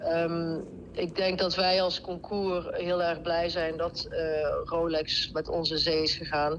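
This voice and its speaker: A woman with a Brabant accent speaks very slowly in a fairly low pitch, flat and monotone, at very even loudness. Noticeable background noise runs underneath. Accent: Brabant Dutch. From Netherlands, North Brabant (Deurne near Eindhoven). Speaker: event board member. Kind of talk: casual interview.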